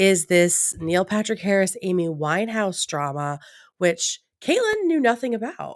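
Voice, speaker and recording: The recording is very clean, and the background is silent. The voice is a woman's. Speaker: podcast co-host. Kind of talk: casual chat.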